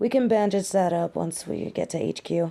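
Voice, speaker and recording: A woman doing a put-on character voice sounds raspy and fairly low-pitched, speaking at a moderate pace with ordinary pitch variation. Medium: audio drama. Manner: casual, blunt, warm.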